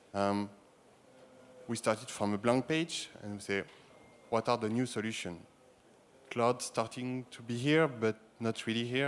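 Someone with a French accent speaks with fairly even intonation. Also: man. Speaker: sports broadcasting executive. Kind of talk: panel discussion. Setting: stage with audience.

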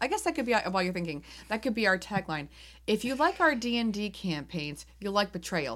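Pitch leaps very widely in an animated delivery at a fairly quick pace. The recording is very clean, with a silent background. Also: woman, medium pitch for a woman. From New England. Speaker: board game podcast co-host. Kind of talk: casual chat.

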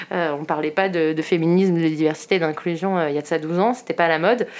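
Talking at a very fast pace, the woman has a fairly low pitch and ordinary pitch variation. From Paris suburbs, France. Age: 30s. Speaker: entrepreneur. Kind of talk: interview. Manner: hesitant, many fillers.

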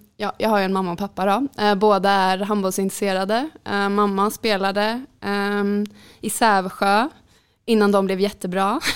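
A normal speaking voice at a moderate pace on a very clean recording with a silent background. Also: woman, medium pitch for a woman. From Sweden, Jönköping. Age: 20s. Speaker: handball player. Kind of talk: interview.

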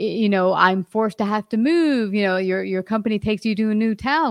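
A plain, everyday voice from a woman, fairly high in pitch with ordinary pitch variation, in a dry, close sound with no echo. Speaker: podcast host. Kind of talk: casual interview.

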